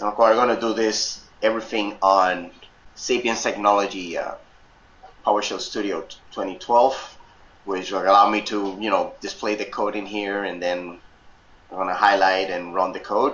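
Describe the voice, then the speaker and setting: A man speaks at a moderate pace in a fairly low voice, his intonation flat and monotone, with audible room echo. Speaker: software instructor. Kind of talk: tutorial. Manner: loud; halting, many fillers.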